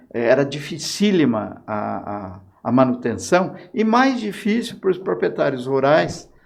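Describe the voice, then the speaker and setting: A man speaks very slowly with very wide pitch swings, and room echo is audible. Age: 70s. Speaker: former mayor. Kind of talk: interview. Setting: podcast.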